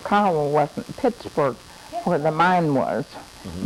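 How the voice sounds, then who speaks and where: At a moderate pace and with lively intonation, this speaker has an American accent over noticeable background noise. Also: woman. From Oklahoma. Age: 80s+. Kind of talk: interview answer. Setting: home recording.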